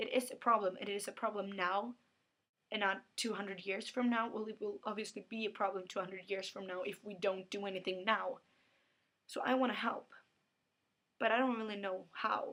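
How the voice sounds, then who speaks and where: A woman talks at a fairly quick pace and a medium pitch. Her intonation stays monotone and flat. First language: Swedish. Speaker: book vlogger. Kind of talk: casual vlog.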